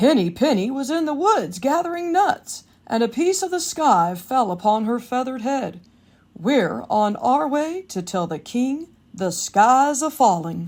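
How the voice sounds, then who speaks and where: In a put-on character voice, a woman uses a high pitch with very wide pitch swings. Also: moderate pace. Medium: read story.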